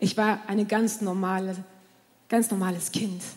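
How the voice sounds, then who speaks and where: A somewhat breathy woman's voice. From southern France. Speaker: pastor. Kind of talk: sermon.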